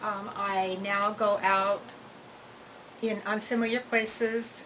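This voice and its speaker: Noticeable background noise sits behind this recording. A woman speaks in a monotone, flat delivery. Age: 60s. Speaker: patient giving a testimonial. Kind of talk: testimony. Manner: hesitant, many fillers.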